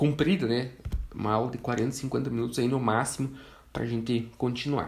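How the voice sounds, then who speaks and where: A man at a moderate pace, with audible room echo. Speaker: forestry engineer and instructor. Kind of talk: online lecture.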